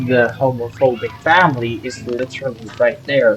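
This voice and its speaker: With noticeable noise behind it, the talking proceeds fairly slowly. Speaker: vlogger. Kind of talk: casual storytelling monologue. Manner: halting, many fillers and repeats; talkative, loud.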